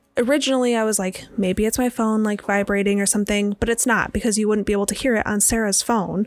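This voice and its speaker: Over noticeable background noise, a woman with an American accent talks at a very fast pace, her fairly high pitch held to a fairly even intonation. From Michigan, Traverse City. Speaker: podcast host. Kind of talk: casual chat.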